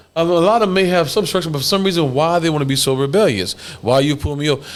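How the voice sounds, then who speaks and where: There is audible room echo along with noticeable background noise. A man talks very fast at a fairly high pitch, with very even loudness and ordinary pitch variation. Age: 50s. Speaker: podcast host. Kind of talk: casual chat. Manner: animated.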